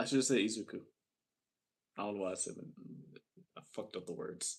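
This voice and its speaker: A man rushes along at a very fast pace, his pitch varying in an ordinary way. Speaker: livestreamer. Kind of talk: casual live stream chat. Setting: live stream. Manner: halting, repeating words.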